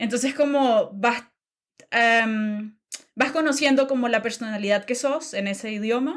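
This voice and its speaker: A woman speaks at a fairly slow pace with a high pitch. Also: ordinary pitch variation. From Nicaragua. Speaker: podcast guest. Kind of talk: interview conversation. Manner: hesitant, many fillers.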